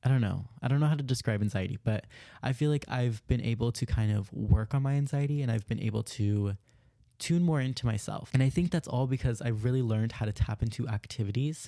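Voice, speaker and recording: A man speaks at a very fast pace with a dark, mellow tone, medium pitch and ordinary pitch variation, on a very clean recording with a silent background. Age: 20s. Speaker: self-improvement podcast host. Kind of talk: casual solo monologue. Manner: chatty, filler-heavy.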